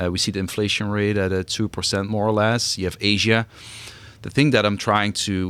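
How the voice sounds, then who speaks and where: Spoken at a fairly quick pace in a European accent, the voice keeps a monotone, flat intonation. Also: man, fairly low pitch for a man. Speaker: venture capital investor. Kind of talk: podcast interview.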